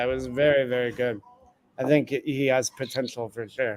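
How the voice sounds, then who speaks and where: At a moderate pace, a man with an American accent speaks at medium pitch in a monotone, flat intonation. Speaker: PR director for a fight gym. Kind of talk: casual chat.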